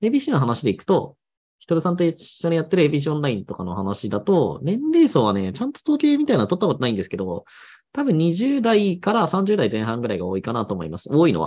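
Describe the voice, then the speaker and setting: At a very fast pace and a fairly high pitch, a man speaks with very wide pitch swings and big swings in loudness. The background is quiet. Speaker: blog and SEO YouTuber; blogging business YouTuber. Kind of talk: solo monologue, casual explainer video. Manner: conversational, chatty. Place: home room.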